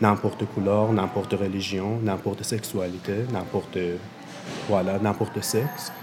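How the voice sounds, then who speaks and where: Music in the background behind a man's monotone, flat intonation at a fairly slow pace and very even loudness. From Iran. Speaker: refugee, LGBTQ activist. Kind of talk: testimony. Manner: halting.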